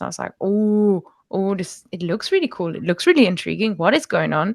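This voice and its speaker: With a German accent, a woman talks at a fairly quick pace and medium pitch on a very clean recording against a silent background. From Germany. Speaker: language teacher. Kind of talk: interview. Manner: halting.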